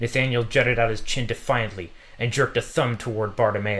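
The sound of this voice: An unforced reading voice is heard throughout.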